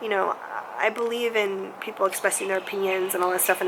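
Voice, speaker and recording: Fairly quickly, a woman talks while noticeable background noise sounds behind her. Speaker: vlogger. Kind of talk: casual talk to camera.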